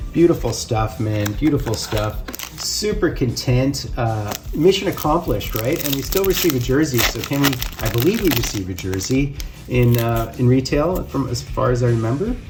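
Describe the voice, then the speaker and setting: Noticeable background noise can be heard. The speech moves at a moderate tempo. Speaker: sports card collector, box break video host. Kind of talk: casual box break commentary. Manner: stuttering a bit; animated.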